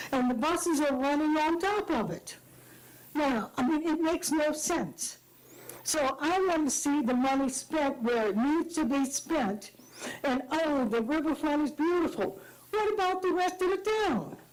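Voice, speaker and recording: The intonation is lively and the loudness very even. Delivery is fairly slow, with audible room echo. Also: woman. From Madisonville, Louisiana. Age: 80s+. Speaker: public commenter at council meeting. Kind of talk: public comment at town meeting. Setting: town council meeting. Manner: animated.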